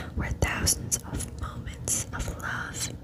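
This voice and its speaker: Someone whispers over noticeable background noise. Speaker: ASMR creator. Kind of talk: poetry reading. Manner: soft-spoken.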